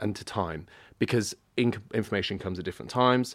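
A man talks with a British accent and ordinary pitch variation. The recording is very clean, with a silent background. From Britain. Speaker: media agency general manager. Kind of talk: panel discussion. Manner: halting.

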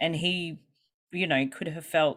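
In a very clean recording with a silent background, a woman with an Australian accent speaks at a fairly slow pace. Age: 30s. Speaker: guest talking about chronic illness. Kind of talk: casual interview chat.

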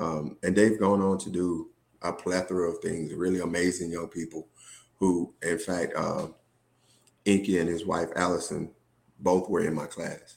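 On a very clean recording with a silent background, a man with a Southern US accent and very deep, low pitch speaks in a flat monotone at a moderate pace, with long, frequent pauses. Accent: Southern US (Georgia). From US South, Georgia. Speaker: school administrator. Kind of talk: casual interview.

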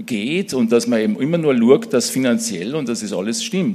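Through noticeable background noise, a man with a fairly high voice speaks at a fairly quick pace with very wide pitch swings. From Austria, Salzburg region (Mittersill). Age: 60s. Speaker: church small-group leader, business manager. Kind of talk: church interview, personal testimony.

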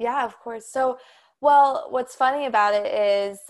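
This is a plain, everyday voice with an American accent, delivered at a fairly slow pace with fairly even intonation. The recording is very clean, with a silent background. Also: woman. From Colorado. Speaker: chiropractic student. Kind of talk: casual interview.

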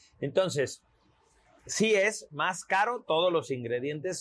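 Very slowly, a man speaks. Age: 40s. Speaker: homeopath and visual artist. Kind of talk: casual interview. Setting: outdoors on a terrace.

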